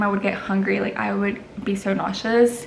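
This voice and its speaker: Audible room echo surrounds a woman speaking at a moderate pace in a fairly high pitch. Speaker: lifestyle vlogger. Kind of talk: casual chat. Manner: halting, filler-heavy.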